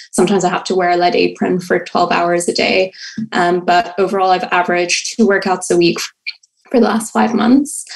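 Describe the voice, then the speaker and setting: Against a quiet background, a woman speaks at a fairly quick pace with ordinary pitch variation and very even loudness. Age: 20s. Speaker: caller, hospital worker; caller. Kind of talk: call-in question. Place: home room. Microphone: video call.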